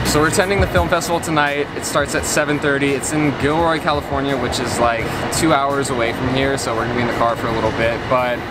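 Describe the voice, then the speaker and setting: Over music in the background, a man talks at a very fast pace with hardly any pauses and ordinary pitch variation. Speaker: vlogger. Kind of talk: casual vlog chat. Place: street.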